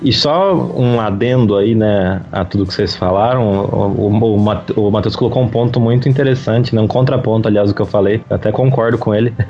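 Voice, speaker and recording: Over noticeable background noise, a man talks at a fairly quick pace with hardly any pauses and ordinary pitch variation. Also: medium pitch for a man. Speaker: podcast guest. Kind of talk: casual chat.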